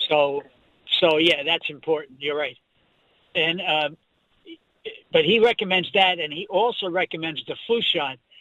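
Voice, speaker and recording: A man with a high pitch speaks with long, frequent pauses. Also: ordinary pitch variation, moderate pace. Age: 70s. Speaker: caller. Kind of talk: call-in question. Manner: halting.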